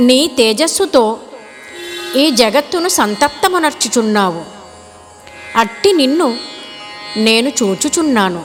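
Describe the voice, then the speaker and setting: A woman at a high pitch with very wide pitch swings, music playing in the background. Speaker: classical singer. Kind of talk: scripture narration.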